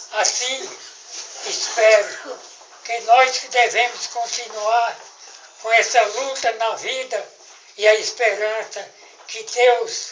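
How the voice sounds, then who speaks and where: Fairly even intonation at a very slow pace, with noticeable background noise. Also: man. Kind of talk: birthday speech to family, spoken toast. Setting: family gathering, recorded on camera.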